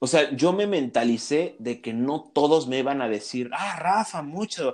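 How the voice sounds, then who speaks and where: A man with a fairly high pitch and a plain, everyday voice. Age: 20s. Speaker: graphic designer. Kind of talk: casual interview conversation.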